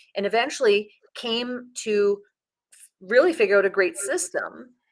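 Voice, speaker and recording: A woman with a fairly high pitch talks at a moderate pace, her intonation lively and her loudness swinging widely. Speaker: public speaker and podcast coach. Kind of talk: interview. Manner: varied intonation, expressive.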